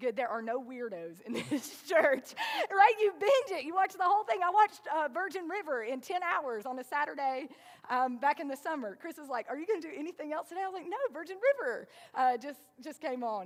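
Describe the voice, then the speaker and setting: At a high pitch, a woman with a Southern US accent speaks at a fairly quick pace, showing very wide pitch swings and big swings in loudness. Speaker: pastor. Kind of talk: sermon. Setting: church. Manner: conversational, casual.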